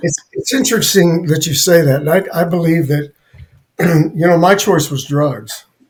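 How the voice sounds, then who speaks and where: At a moderate pace, a man speaks in an unremarkable speaking voice with ordinary pitch variation. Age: 60s. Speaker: guest sharing recovery story, Navy veteran. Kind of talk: personal testimony in interview.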